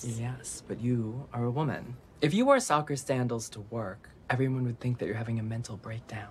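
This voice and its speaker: The talking comes at a fairly quick pace, with light background noise behind it. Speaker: actor. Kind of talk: TV drama scene. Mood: assertive, confrontational. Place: office.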